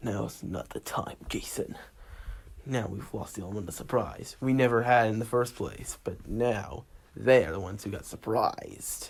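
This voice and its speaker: A man's raspy, put-on character voice at medium pitch, moderate pace and ordinary pitch variation. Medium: solo performance.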